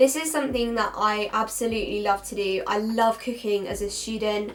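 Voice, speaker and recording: A woman's normal speaking voice, fairly high-pitched, at a fairly quick pace with fairly even intonation, over light background noise. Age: young. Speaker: university student; student vlogger. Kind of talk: casual talk to camera. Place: home room.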